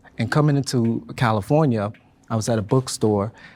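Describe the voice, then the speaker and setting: Over a very clean recording with a silent background, a man with a West African accent talks at a fairly quick pace in a fairly low pitch. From Ghana. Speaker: panel discussion participant. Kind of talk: panel discussion.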